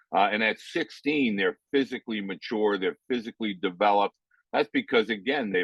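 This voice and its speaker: A man's normal speaking voice, fairly low in pitch, with ordinary pitch variation and a fairly quick pace. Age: 60s. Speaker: youth baseball coach and author. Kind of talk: interview. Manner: conversational, with many fillers.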